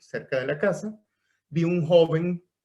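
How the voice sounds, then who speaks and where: A man with a high pitch speaks in a Caracas accent. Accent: Venezuelan Spanish (Caracas). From Venezuela (Caracas). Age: 70s. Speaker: veterinarian and harpist. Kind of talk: podcast interview. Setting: recorded via computer, no microphone. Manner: conversational storytelling with fillers.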